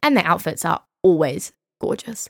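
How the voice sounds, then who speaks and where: On a very clean recording with a silent background and a dry, close sound with no echo, a woman with a New Zealand accent speaks at a fairly low pitch in an animated tone. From England, then New Zealand from age nine. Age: 20s. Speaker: podcast host and young business founder. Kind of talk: casual solo chat.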